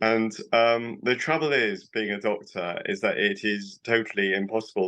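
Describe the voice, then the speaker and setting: Speaking at a moderate pace with a British accent, a man uses a fairly low pitch, a bright, sharp tone and ordinary pitch variation. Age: 60s. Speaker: doctor. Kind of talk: interview.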